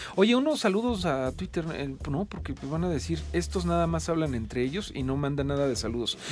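A man's pitch swings very widely as he speaks. He keeps a moderate pace while music plays behind him. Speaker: radio host. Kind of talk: casual chat. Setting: studio.

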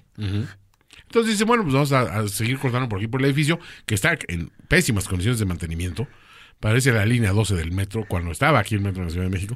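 A man speaks at a very fast pace with a fairly low pitch. His intonation is lively. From Mexico City. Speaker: podcast co-host. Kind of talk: casual chat.

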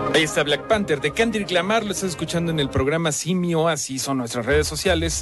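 Over music in the background, a man with a fairly high pitch talks at a moderate pace with lively intonation. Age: 30s. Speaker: radio host. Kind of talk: casual chat.

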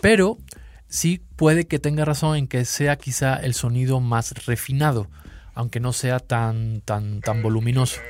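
This man's voice is somewhat breathy and sits at a medium pitch. The recording is very clean, with a silent background. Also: ordinary pitch variation, fairly slow pace. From Seville, Spain. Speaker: watch magazine editor. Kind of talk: casual chat.

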